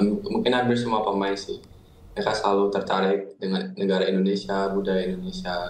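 In a room with audible echo, a man with fairly low pitch speaks in a monotone, flat intonation at a fairly quick pace. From Netherlands. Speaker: footballer and YouTuber. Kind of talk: casual interview. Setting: video call. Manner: casual. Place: home room. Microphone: video call.

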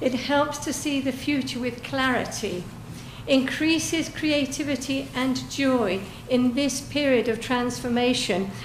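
Speaking in an English accent, a woman has a high pitch and ordinary pitch variation at a fairly slow pace. Audible room echo and noticeable background noise fill the recording. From England. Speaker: public commenter at town council meeting. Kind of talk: public comment speech.

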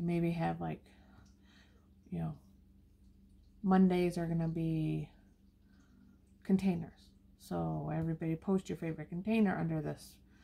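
The pace is moderate. The speaker is a woman. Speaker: diamond painting hobby vlogger. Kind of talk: casual vlog chat. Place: home room. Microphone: phone near.

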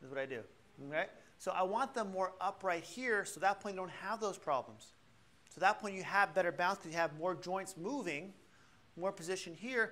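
This man talks fairly quickly in a raised, projected voice, his pitch high and his tone bright, sharp and animated, with ordinary pitch variation. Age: 50s. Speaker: chiropractor leading a balance workshop. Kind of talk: workshop demonstration to a live class. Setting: class with live audience. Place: classroom.

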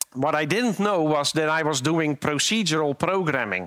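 The man's bright, sharp tone comes across as a dry sound with no echo. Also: quiet background. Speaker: conference speaker. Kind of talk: conference talk, storytelling. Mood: light, humorous. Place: stage. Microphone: headset.

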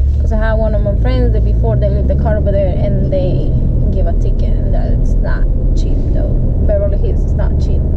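A woman talks at a fairly quick pace. Loud background noise is present. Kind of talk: casual vlog chat. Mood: frustrated storytelling. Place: car. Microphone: phone near.

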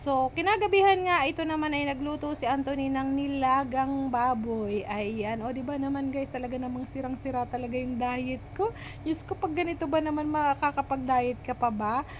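At a moderate pace, the delivery runs on with hardly any pauses and ordinary pitch variation. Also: woman, high pitch for a woman. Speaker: vlogger and hardware shop owner. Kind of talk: voice-over vlog narration. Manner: stumbling over words.

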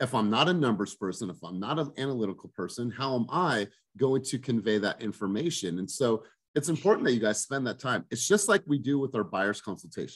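Against a quiet background, a man talks with lively intonation. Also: fairly quick pace. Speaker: team coach. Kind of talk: coaching talk. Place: home room. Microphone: video call.

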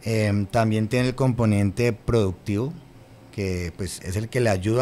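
A man with a plain, everyday voice speaks at a moderate pace in a fairly low pitch, with ordinary pitch variation and light background noise. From Colombia, Cali (Valle del Cauca); Colombia. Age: 30s. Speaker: government official; guest. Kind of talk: interview; interview answer. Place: studio. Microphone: studio mic.

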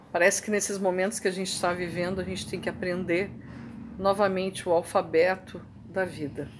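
With a Brazilian accent, the speaker goes at a fairly quick pace in a monotone, flat delivery amid noticeable background noise. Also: woman. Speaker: video blogger reading poetry. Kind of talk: poetry reading, reflective and contemplative. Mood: calm, reflective. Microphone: webcam.

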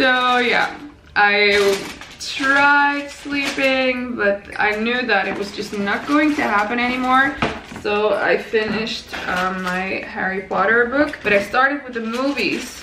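In a room with audible echo, a woman with a fairly high, raspy voice and a bright, sharp tone talks at a slow pace with ordinary pitch variation.

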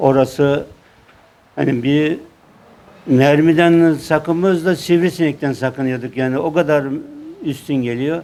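A man speaks at a very slow pace. His pitch moves with ordinary variation. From Burdur, Turkey. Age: 70s. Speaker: war veteran. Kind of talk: interview answer.

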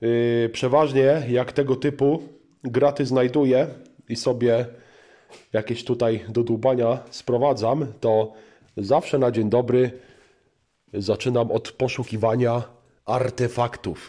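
Over a quiet background, a man with a dark, mellow tone speaks at a very slow pace, his loudness very even, his intonation fairly even, and his pauses long and frequent. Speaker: car hobby vlogger. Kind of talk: casual vlog chat. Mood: jokey, playful. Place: garage. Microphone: phone near.

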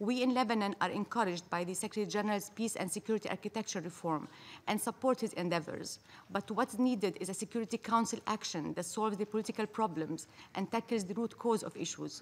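A woman talks at a very fast pace, her pitch varying in an ordinary way. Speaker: ambassador delivering a statement at the UN Security Council. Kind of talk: formal diplomatic speech read at a UN Security Council debate. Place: hall. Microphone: podium.

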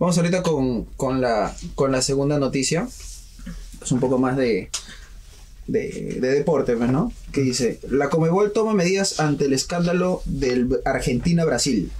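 A man speaks in a somewhat breathy voice with lively intonation. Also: fairly high pitch for a man, fairly slow pace. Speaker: student radio host. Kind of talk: radio interview, casual chat. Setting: radio studio. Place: studio.

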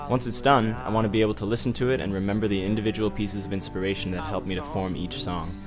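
With music in the background, the speaker races along at a very fast pace with lively intonation and hardly any pauses. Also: man, fairly low pitch for a man. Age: 20s. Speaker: social media consultant and musician. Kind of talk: video application, talk to camera. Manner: upbeat, outgoing.

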